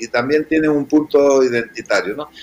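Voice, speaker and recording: The speaker is a man with a fairly high pitch. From Canary Islands. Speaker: restaurant owner. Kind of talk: interview.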